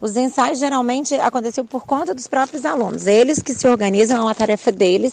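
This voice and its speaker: Noticeable background noise accompanies a woman with a high pitch. She barely pauses and varies her pitch in an ordinary way. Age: 40s. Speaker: physical education teacher. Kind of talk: interview. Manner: halting, many fillers.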